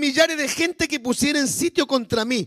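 A man projects a raised voice in a bright, sharp tone with lively intonation, and the sound is dry and close, with no echo. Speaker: pastor. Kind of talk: sermon.

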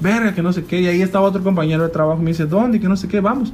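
Over noticeable background noise, a man speaks at a very fast pace. His pitch varies in an ordinary way. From Mexico, Chiapas. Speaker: guest recounting life abroad. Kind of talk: casual chat.

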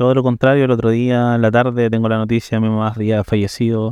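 A man at a fairly quick pace, dry and close with no echo, against a quiet background. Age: 30s. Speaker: interview guest sharing life story. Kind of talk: personal testimony. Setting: café.

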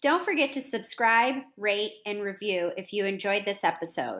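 A woman with a plain, everyday voice speaks in an American accent at a moderate pace and fairly high pitch, with ordinary pitch variation. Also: very clean recording, silent background. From United States. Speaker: podcast host. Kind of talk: scripted outro; casual interview.

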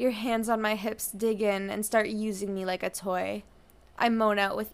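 The intonation stays fairly even in this unforced reading voice.

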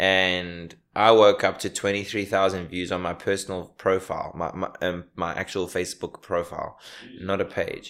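At a moderate pace, a man speaks flat and monotone in a very deep, low voice, in a very clean recording with a silent background. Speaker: stand-up comedian. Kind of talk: casual interview chat.

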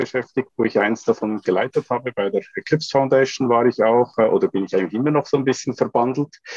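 A man speaks in an ordinary speaking voice at a medium pitch with ordinary pitch variation, and the sound is dry and close with no echo. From Switzerland. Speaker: computer scientist, startup co-founder. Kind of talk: podcast interview.

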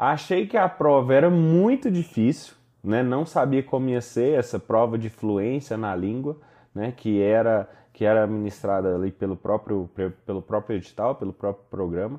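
A man talks at a moderate pace and medium pitch, his intonation lively. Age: 20s. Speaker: solar energy entrepreneur. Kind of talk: interview. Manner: halting.

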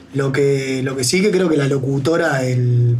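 A man at medium pitch and a fairly slow pace, fairly even in intonation, with audible room echo and noticeable background noise. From Montevideo, Uruguay. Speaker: radio co-host. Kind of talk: casual chat.

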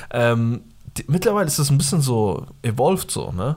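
A man speaks in an animated tone with lively intonation at a fairly quick pace. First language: Pashto (speaking German). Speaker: podcast co-host. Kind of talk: casual chat.

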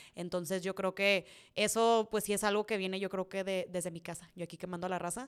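With an animated tone, a woman talks at a fairly quick pace in a medium pitch. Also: very clean recording, silent background. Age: 20s. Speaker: content creator. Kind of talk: casual Q&A monologue.

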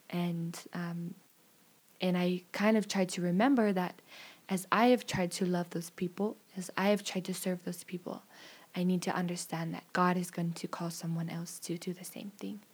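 A woman speaks at a moderate pace with a fairly low pitch. Her voice is somewhat breathy, and her intonation is monotone and flat. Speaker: returned missionary. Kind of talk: casual chat.

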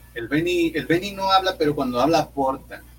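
The speech comes at a moderate pace. Noticeable background noise is present. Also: man. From Monterrey, northern Mexico. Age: 20s. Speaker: comedian. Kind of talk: casual chat.

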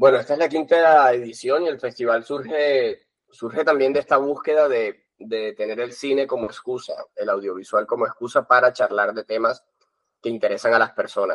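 The sound is dry and close, with no echo. A man talks at a moderate speed. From Colombia. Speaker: film festival director. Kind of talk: interview. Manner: halting.

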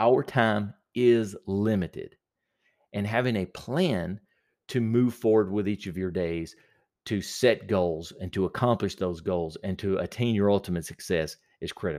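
An ordinary speaking voice from a man, fairly low in pitch, with ordinary pitch variation and a fairly slow pace, in a very clean recording over a silent background. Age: 40s. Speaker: productivity podcast host and small business owner. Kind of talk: solo podcast monologue.

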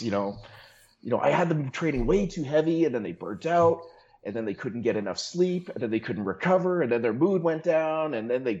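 A man's fairly high, ordinary speaking voice with lively intonation at a fairly quick pace. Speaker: online fitness coach. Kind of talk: casual chat.

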